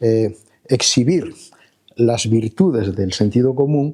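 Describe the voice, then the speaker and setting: Speaking at a very slow pace, a man uses a medium-pitched, somewhat breathy voice with a dark, mellow tone. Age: 70s. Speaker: professor. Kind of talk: lecture. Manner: hesitant, many filler sounds.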